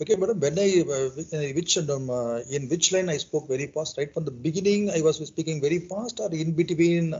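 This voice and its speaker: A man with a Telugu accent and a fairly high pitch, fairly quick pace, hardly any pauses and ordinary pitch variation. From India, Chennai. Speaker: English learner, airline cargo sales worker. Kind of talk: casual chat. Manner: fast.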